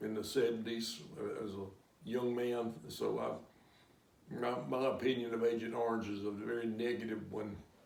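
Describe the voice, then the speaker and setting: Monotone, flat intonation comes with an American accent and audible room echo. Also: man. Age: 70s. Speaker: war veteran. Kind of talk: interview answers. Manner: halting.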